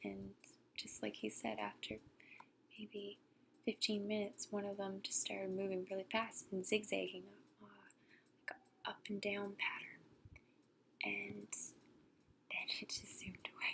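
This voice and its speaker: Soft-spoken and fairly slow, a woman talks with long, frequent pauses. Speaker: ASMR storyteller. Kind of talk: casual talk to camera.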